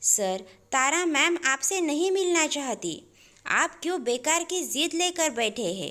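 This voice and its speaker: A woman's put-on character voice, strained and high-pitched, fairly slow, with very wide pitch swings. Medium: read story. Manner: firm, restrained.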